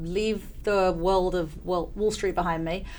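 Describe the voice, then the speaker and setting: A woman with an English accent at medium pitch, moderate pace and fairly even intonation, with audible room echo. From England. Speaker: venture capital investor. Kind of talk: interview.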